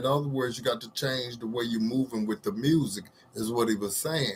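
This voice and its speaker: A man's somewhat breathy voice at medium pitch. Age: 60s. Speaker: social commentary vlogger. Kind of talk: casual monologue to camera. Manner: halting, with many fillers.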